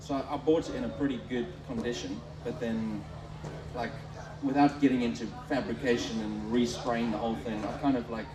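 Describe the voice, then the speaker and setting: A man with a medium-pitched voice talks with lively intonation and long, frequent pauses. Music plays in the background, and room echo is audible. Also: fairly quick pace. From South Africa. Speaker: Land Rover enthusiast. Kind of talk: live podcast interview. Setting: beer tent at a show with live audience. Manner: halting.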